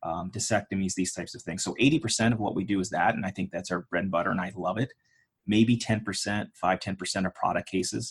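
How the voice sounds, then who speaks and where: This is a normal speaking voice with an American accent, moving at a fairly quick pace. Intonation stays fairly even over a quiet background. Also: man, fairly low pitch for a man. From Pittsburgh, Pennsylvania. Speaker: personal injury trial lawyer. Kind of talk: interview.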